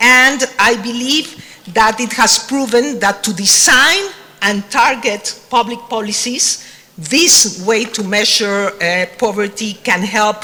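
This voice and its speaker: A woman with a Spanish accent at a very slow pace, fairly high in pitch with ordinary pitch variation, amid noticeable background noise. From Mexico. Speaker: government official in development cooperation. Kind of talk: panel discussion. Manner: hesitant, many fillers.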